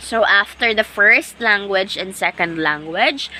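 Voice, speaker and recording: A woman speaks with a Visayan accent. Noticeable background noise runs behind her. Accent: Filipino (Visayan) English. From Philippines, Agusan del Sur (Mindanao). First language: Bisaya (Cebuano). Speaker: teacher. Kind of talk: lecture. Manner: repetitive, self-correcting.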